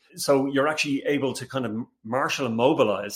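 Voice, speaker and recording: A man speaks with an Irish accent. His pace is very fast. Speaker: company CEO. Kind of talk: casual interview.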